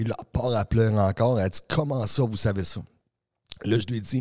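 A man speaks fairly quickly in a somewhat breathy, fairly low voice with a dark, mellow tone and fairly even intonation, heard as a dry, close sound with no echo. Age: 40s. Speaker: energy coach and speaker. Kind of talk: casual interview. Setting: studio.

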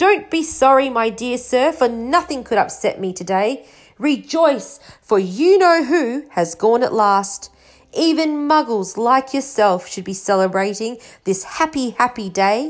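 Putting on a squeaky character voice, a woman speaks high and at a fairly slow pace. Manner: gleeful, jubilant.

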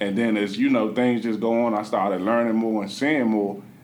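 Recorded with audible room echo, a man with a fairly low pitch speaks at a moderate pace. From Washington, D.C., Southeast. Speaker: real estate investor and meetup organizer. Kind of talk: podcast interview.

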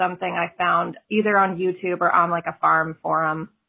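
Using a plain, everyday voice, a woman keeps a medium pitch and a moderate pace. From South Texas (Laredo, border region). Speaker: fiction writer. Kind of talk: interview.

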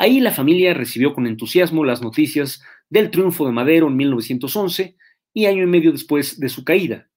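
A very clean recording has a silent background. Intonation in the speech is lively. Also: man, fairly high pitch for a man. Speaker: history lecturer. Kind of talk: history lecture. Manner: fast; halting.

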